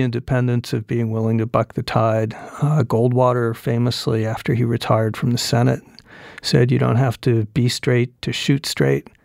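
A man speaks at a moderate pace in a plain, everyday voice, medium in pitch, with a dry, close sound and no echo. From Arizona (Phoenix). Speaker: author and journalist. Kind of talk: interview conversation. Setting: on a university campus.

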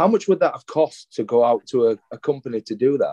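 A man's fairly high, dark and mellow voice at a very fast pace, with very wide pitch swings. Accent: Yorkshire. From Yorkshire, England. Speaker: educator and former school leader. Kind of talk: interview conversation. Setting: hotel room.

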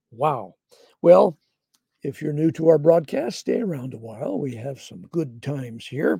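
A man with a fairly high pitch and a dark, mellow tone speaks fairly slowly with lively intonation, vocal fry and big swings in loudness. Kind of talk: devotional Bible teaching broadcast.

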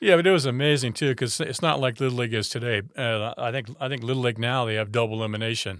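A man's very fast speech with hardly any pauses, medium pitch and ordinary pitch variation. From Rancho Cordova, California (after early childhood in France). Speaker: former pro baseball player. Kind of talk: interview. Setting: studio. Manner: halting, repeats words.

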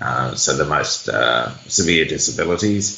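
Speaking at a fairly slow pace with lively intonation and an Australian accent, the voice comes through noticeable background noise and audible room echo. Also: man. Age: 40s. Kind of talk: interview.

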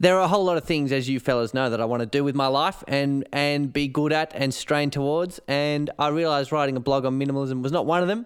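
Very fast delivery with hardly any pauses, very even loudness and ordinary pitch variation. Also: man, fairly high pitch for a man. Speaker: podcast co-host. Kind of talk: casual chat.

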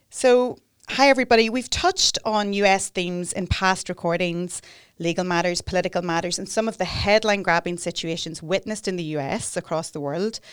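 A plain, everyday voice speaks at a fairly quick pace with ordinary pitch variation. The recording is very clean, with a silent background. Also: woman, medium pitch for a woman. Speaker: podcast host and solicitor. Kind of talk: interview, conversational. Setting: studio.

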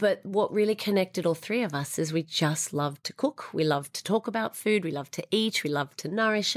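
A woman with an Australian accent at a fairly quick pace, in a dry, close sound with no echo. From Australia, Sydney. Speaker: food business founder. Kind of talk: interview.

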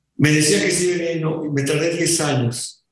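Vocal fry runs through this man's speech. He keeps a moderate pace. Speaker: rock drummer. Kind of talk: interview.

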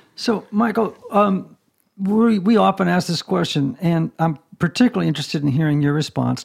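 Lively intonation colors a normal speaking voice that keeps a moderate pace. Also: man. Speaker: podcast host and author. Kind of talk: casual interview chat. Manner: playful, frequent fillers.

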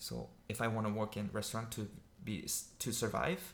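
Delivered at a moderate pace, the voice has a fairly bright tone and little pitch movement.

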